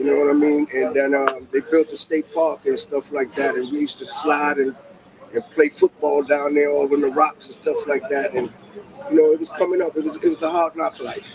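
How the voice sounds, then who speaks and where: A fairly quick pace of talking amid noticeable background noise. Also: man. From New York, Harlem. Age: 60s. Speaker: interviewee. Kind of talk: casual interview.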